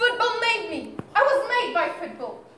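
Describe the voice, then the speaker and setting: The pace is fairly slow. Light background noise and audible room echo can be heard. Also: woman. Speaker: stage actor. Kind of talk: theatrical monologue and dialogue. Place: stage. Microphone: camera far.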